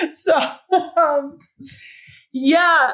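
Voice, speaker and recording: A woman's raised, projected voice with a bright, sharp tone and an American accent, at a very slow pace. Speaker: retired pro mountain biker. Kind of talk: interview. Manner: loud; animated.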